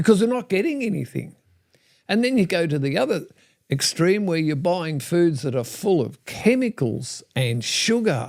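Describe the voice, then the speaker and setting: A man's high-pitched voice with very wide pitch swings at a moderate pace. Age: 70s. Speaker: natural health advocate. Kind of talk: interview conversation. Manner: halting.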